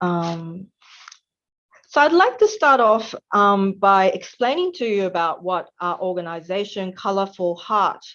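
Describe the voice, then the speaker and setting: With an Australian accent, a woman talks at a fairly slow pace and a medium pitch, her intonation lively against a quiet background. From Australia, Melbourne. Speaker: webinar facilitator, nonprofit volunteer. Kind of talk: presentation. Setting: online webinar. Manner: hesitant, frequent um fillers.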